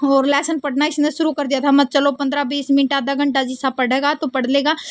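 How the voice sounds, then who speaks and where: A woman with a Haryana accent, high-pitched and monotone, with flat intonation. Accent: Haryanvi. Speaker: vlogger. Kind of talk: casual vlog narration.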